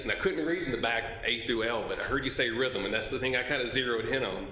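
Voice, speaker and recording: A man with a Mississippi accent talks over noticeable background noise, and the room echo is audible. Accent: US Southern (Mississippi). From Mississippi (Oxford). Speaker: member of the public. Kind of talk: public comment at city commission meeting.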